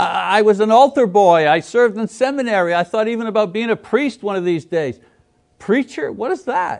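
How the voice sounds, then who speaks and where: With lively intonation, a man speaks at a high pitch and a moderate pace. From Quebec, Montreal. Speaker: preacher. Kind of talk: lecture. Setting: church.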